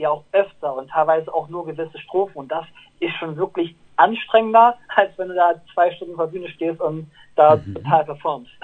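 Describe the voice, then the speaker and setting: Speaking fairly quickly, a man uses a high pitch. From northern Germany, Lower Saxony near Bremen/Oldenburg. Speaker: pop singer. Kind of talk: interview. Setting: phone call.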